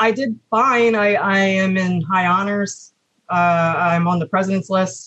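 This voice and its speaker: A woman with a plain, everyday voice speaks at a fairly slow pace, her pitch medium and its variation ordinary. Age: 30s. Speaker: engineering student and former retail manager. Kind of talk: interview.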